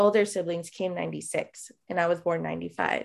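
Someone with a Midwestern American accent talks at a fairly quick pace over a quiet background. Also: woman. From Chicago. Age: 20s. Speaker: DACA recipient sharing story. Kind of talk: casual interview.

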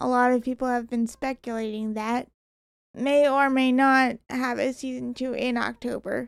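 Soft-spoken and high-pitched, a woman talks at a moderate pace in a monotone, flat intonation. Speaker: podcast guest, host's sister. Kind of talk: casual chat.

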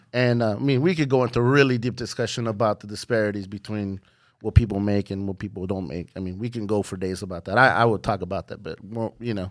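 Speaking very fast with an American accent, the voice shows ordinary pitch variation and big swings in loudness. The recording is very clean with a silent background. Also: man, fairly low pitch for a man. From US West Coast, San Francisco Bay Area. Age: 30s. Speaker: DJ and remixer. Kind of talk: casual chat. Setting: hotel room in San Francisco.

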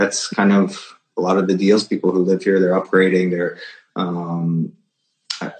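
In a northeastern US accent, a man speaks with a very deep, low pitch. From Connecticut, Fairfield County. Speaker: real estate broker. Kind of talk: interview.

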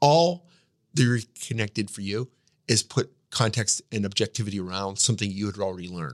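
Fairly low-pitched, a man uses lively intonation at a fairly quick pace in an unremarkable speaking voice, recorded dry and close with no echo on a very clean track with a silent background. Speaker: podcast host and business consultant. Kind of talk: interview.

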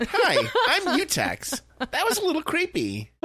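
In a put-on character voice with an extremely high pitch, the speaker goes at a fairly slow pace. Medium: actual play. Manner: earnest, naive cheer.

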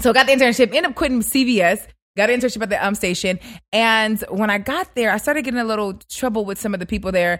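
A woman talks at a very fast pace and fairly high pitch, with ordinary pitch variation. The recording is very clean, with a silent background. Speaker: radio personality. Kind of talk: casual interview. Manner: fast talker.

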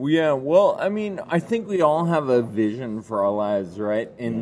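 Noticeable background noise sits behind a man speaking at a moderate pace and medium pitch with lively intonation. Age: 30s. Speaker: ataxia advocate and cycling event founder. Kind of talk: interview.

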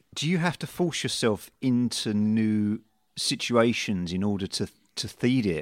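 Fairly low in pitch, a man speaks in a plain, everyday voice on a very clean recording with a silent background and dry, close sound with no echo. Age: 30s. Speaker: podcast host and musician. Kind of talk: interview.

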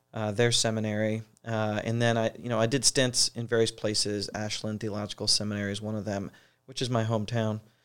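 A man's fairly low voice with an American accent, fairly quick and flat in a monotone, on a very clean recording with a silent background. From US Midwest, Ohio. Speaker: New Testament professor. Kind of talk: interview about his book.

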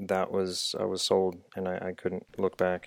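On a very clean recording with a silent background, a man with a Midwestern American accent speaks at a fairly low pitch and a moderate pace. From Dayton, Ohio. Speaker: engineer turned coffee entrepreneur. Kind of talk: casual interview.

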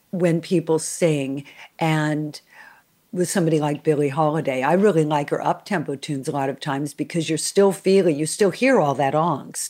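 A woman speaks at a moderate pace in a very deep, low pitch with a dark, mellow tone and ordinary pitch variation. The recording is very clean, with a silent background. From Los Angeles, US. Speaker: interviewer, jazz pianist. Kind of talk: interview.

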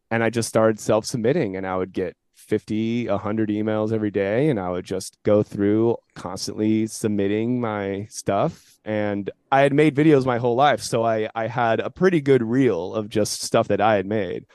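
In a quiet background, a man with a Californian accent talks at a moderate pace and a fairly low pitch, with ordinary pitch variation and hardly any pauses. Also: dry, close sound with no echo. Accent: General American (Californian). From US West Coast, San Jose, California. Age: 30s. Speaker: commercial actor and comedian. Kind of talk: casual interview chat.

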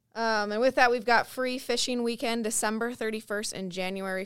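Heard on a very clean recording with a silent background, a woman with an American accent has an unremarkable speaking voice at medium pitch and moderate pace. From Minnesota. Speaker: podcast host. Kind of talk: casual interview.

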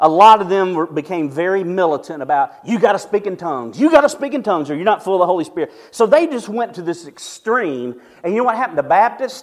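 A man with a Southern US accent, high-pitched, fairly quick, with lively intonation. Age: 50s. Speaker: pastor. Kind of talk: sermon.

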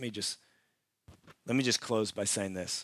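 Over a silent background in a very clean recording, a man speaks with fairly even intonation. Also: dry, close sound with no echo. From Canada. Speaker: pastor. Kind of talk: sermon. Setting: church. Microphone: new clip-on microphone.

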